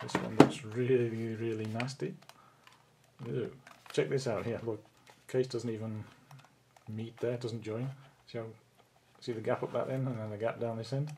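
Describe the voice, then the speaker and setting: A man's medium-pitched voice at a moderate pace, fairly even intonation, long and frequent pauses, and noticeable background noise. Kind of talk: product teardown talk to camera.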